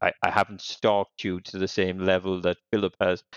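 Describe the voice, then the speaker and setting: A man with an Irish accent talks at a fairly quick pace in a very deep, low voice. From Ireland. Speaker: podcast co-host. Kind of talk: casual interview. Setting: evening recording.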